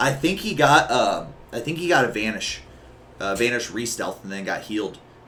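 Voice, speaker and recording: There is audible room echo as a man speaks at a moderate pace. His tone is animated, bright and sharp. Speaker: streamer and esports commentator. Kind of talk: live commentary.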